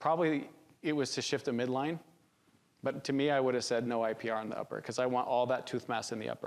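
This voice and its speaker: Fairly even intonation runs through speech delivered at a very fast pace. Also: man, medium pitch for a man. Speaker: orthodontics instructor. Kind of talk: lecture. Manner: casual conversational.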